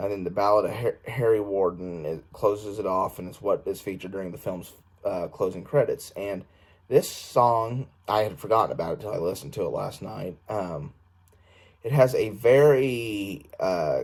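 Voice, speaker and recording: Somewhat breathy and fairly low in pitch, a man speaks at a moderate pace with ordinary pitch variation and big swings in loudness, in a very clean recording with a silent background. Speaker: film reviewer. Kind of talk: casual video review. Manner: halting, many fillers.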